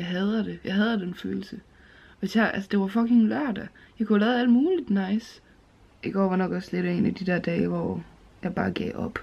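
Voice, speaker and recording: At a moderate pace, a woman talks in a dark, mellow tone with fairly even intonation. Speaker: vlogger. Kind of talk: casual vlog chat. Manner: drowsy, low, sluggish voice. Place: home room. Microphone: phone near.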